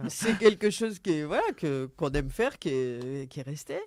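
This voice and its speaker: A man with a fairly high pitch and ordinary pitch variation is heard in a very clean recording with a silent background. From northern France, Seine valley. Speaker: member of a local boating association. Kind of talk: radio interview. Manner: halting, many repetitions.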